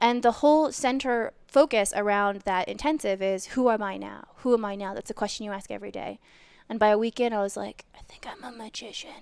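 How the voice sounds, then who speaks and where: An ordinary speaking voice from a woman, fairly high-pitched and fairly quick, with big swings in loudness and ordinary pitch variation. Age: 30s. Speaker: magician and circus performer. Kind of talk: casual interview.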